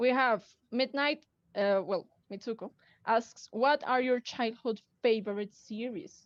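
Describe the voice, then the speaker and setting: In a Colombian accent, a woman speaks at a fairly slow pace with lively intonation and a fairly high pitch. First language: Spanish. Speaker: cosplayer and community admin. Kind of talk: live stream group chat. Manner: hesitant, many fillers.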